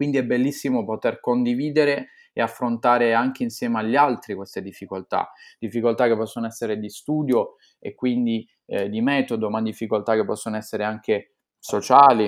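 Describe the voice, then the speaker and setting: At a fairly quick pace, a man talks with fairly even intonation at medium pitch. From Italy, Apulia. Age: 20s. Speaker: law student. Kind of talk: interview. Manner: halting, many fillers and repetitions.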